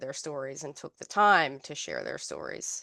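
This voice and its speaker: A woman speaks with a Newfoundland accent and lively intonation. Her pace is moderate, and the background is quiet. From Newfoundland, Canada. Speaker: health researcher and occupational therapist. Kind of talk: research seminar talk. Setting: seminar room with online audience.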